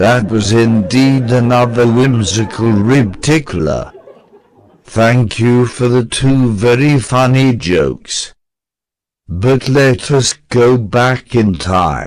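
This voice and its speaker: Putting on a cartoonish character voice, a man speaks at a very slow pace with a medium pitch. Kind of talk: comedic interview questions. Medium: puppet.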